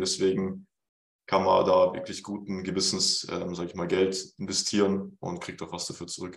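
Speaking at a fairly quick pace, a man has a very deep, low voice. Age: 20s. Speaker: fitness coach. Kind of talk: casual chat.

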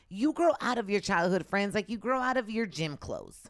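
A loud woman's voice, fairly high in pitch, with very wide pitch swings and a fairly quick pace, in a very clean recording with a silent background. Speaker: podcast co-host. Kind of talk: casual chat.

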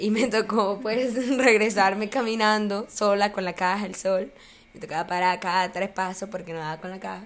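A medium-pitched woman at a moderate pace, in an unremarkable speaking voice. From Colombia, small town. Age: 20s. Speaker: university student and social media user. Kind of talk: casual interview chat.

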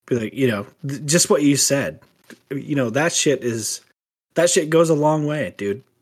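A man with an ordinary speaking voice, fairly high pitch and ordinary pitch variation. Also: moderate pace. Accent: American. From US Midwest (small town). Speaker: musician, guest co-host. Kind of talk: casual chat.

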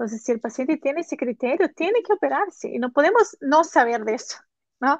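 A woman's high voice in a Portuguese accent, fairly quick, with very wide pitch swings and a dry, close sound with no echo. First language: Portuguese (speaking Spanish). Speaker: neurologist hosting a live online course session. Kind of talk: live-streamed interview. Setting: live stream on Instagram and YouTube.

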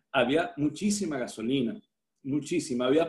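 Lively intonation from a man at a fairly slow pace. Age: 60s. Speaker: surfer and medical doctor. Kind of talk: interview storytelling.

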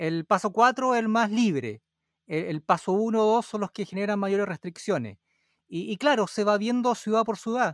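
A high-pitched man speaks at a fairly slow pace. The sound is dry and close with no echo, on a very clean recording with a silent background. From Chile. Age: 40s. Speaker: podcaster. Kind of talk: casual chat.

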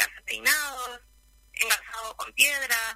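Amid noticeable background noise, a woman speaks at a fairly slow pace in a high pitch. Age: 20s. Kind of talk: radio interview.

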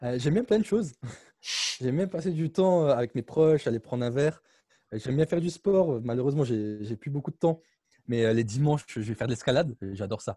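A man talks fairly quickly with lively intonation at a fairly high pitch, his tone dark, mellow and somewhat breathy. The sound is dry and close with no echo, on a very clean recording with a silent background. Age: 20s. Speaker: startup founder and CEO. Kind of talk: interview.

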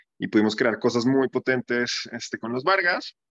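The speech moves at a moderate pace with ordinary pitch variation, recorded with a dry, close sound with no echo. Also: man. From Colombia. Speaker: startup founder and CEO. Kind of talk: casual interview.

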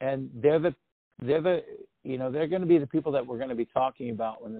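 A man with an American accent and an unremarkable speaking voice, talking at a fairly quick pace with ordinary pitch variation. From Oregon, US. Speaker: rock musician. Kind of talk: interview.

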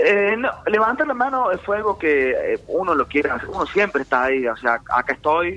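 A man speaks with a raised, projected voice at a high pitch. His pitch swings very widely, and he hardly pauses. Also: moderate pace. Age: 20s. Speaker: professional rugby player. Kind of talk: casual interview.

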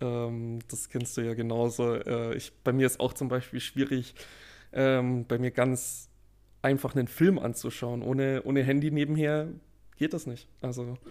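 A man's medium-pitched voice, dark and mellow in tone, monotone and flat, at a fairly slow pace. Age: 20s. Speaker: computer scientist and podcast co-host. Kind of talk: casual chat. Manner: halting, many fillers.

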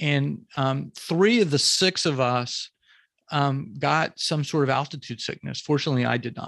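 Against a quiet background, a man with an American accent talks at a moderate pace, his fairly high voice showing ordinary pitch variation. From US South, Jacksonville, Florida. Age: 50s. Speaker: photographer and author. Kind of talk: casual interview. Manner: halting, many fillers and repeats.

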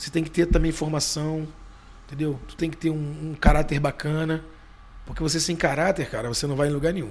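Talking at a fairly quick pace with fairly even intonation, a man with a fairly high pitch is heard over noticeable background noise. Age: 40s. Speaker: bar owner and natural gas vehicle businessman. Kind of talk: casual interview.

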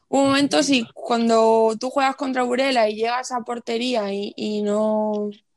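A woman speaks at a fairly slow pace with hardly any pauses, her pitch fairly high and her intonation fairly even. She has an unremarkable speaking voice. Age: 20s. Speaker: futsal player. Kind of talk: interview.

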